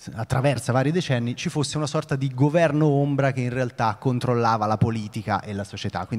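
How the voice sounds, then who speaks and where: With music in the background, a man speaks in a Tuscan accent. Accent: Tuscan Italian. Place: stage.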